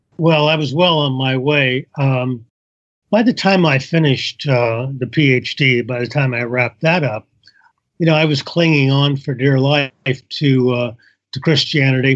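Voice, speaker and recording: A man with a Midwestern accent speaks at a fairly slow pace. His voice is medium in pitch, and his intonation stays fairly even. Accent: general American, Midwestern. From US Midwest, northern Indiana. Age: 70s. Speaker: author and former pastor. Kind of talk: interview.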